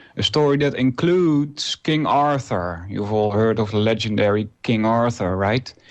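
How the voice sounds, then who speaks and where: Using a non-native accent, a man at a medium pitch talks at a moderate pace with lively intonation, very even loudness and hardly any pauses. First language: Dutch. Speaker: radio host. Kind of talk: casual monologue. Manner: halting, many fillers.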